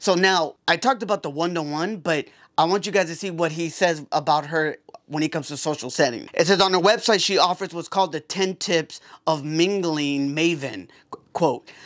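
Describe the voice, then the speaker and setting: A loud man with a high voice and ordinary pitch variation at a moderate pace, on a very clean recording with a silent background. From Puerto Rico. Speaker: podcast host. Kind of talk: casual vlog talk. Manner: energetic.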